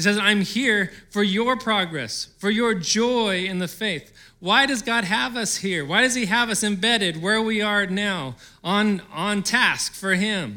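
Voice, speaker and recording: With audible room echo, a man speaks in a raised, projected voice at a high pitch and fairly slow pace, his tone bright and sharp and his pitch variation ordinary. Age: 40s. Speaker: pastor. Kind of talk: sermon.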